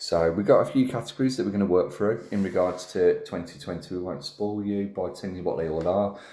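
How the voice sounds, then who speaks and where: Speaking very fast with a Birmingham accent, a man uses a fairly low pitch and a dark, mellow tone amid audible room echo. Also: ordinary pitch variation, hardly any pauses. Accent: Brummie. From Birmingham, England. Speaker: wrestling podcast host. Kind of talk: casual chat.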